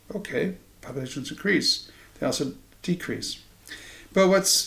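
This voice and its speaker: Fairly slow speech from a man with an American accent. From Iowa, US Midwest. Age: 60s. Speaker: political commentator. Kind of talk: monologue to camera. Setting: home living room. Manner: halting, with ums.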